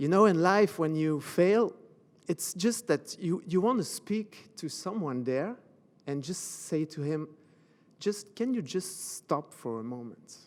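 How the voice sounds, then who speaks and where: In a Belgian French accent, a man speaks at a high pitch and a fairly slow pace. His intonation is lively. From Belgium, French-speaking. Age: 40s. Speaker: motivational speaker and coach. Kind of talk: motivational talk. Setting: stage with audience. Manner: halting.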